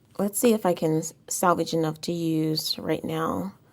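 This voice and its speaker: Speaking quietly at a moderate pace, a woman uses a fairly low pitch. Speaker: planner decorating YouTuber. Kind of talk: casual tutorial-style crafting vlog.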